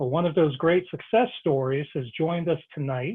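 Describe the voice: A man talks at a moderate pace, his pitch fairly high with ordinary variation. His voice carries a slightly husky edge.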